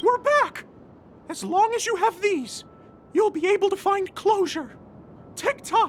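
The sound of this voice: A woman performs a cartoonish character voice with an extremely high pitch, lively intonation and a slow pace.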